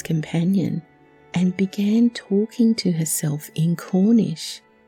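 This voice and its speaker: A quiet, calm voice with an Australian accent, at a very slow pace, over music in the background. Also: woman. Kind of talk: relaxing true story narration.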